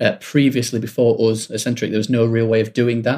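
In a very clean recording with a silent background, a man with an ordinary speaking voice talks at a fairly quick pace, with medium pitch and fairly even intonation. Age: 30s. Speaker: music publishing executive. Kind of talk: casual interview.

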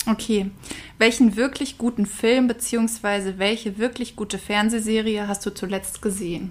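Speaking at a moderate pace, a woman keeps a flat, monotone delivery at a fairly high pitch. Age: 20s. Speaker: podcast co-host, university student. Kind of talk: casual chat.

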